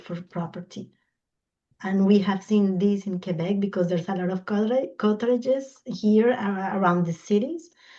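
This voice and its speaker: A woman talks at a fairly slow pace in a medium pitch. Her tone is dark and mellow, and somewhat breathy. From Colombia. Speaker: environmental law expert. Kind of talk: invited talk in online discussion. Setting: video call. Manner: halting, searching for English words.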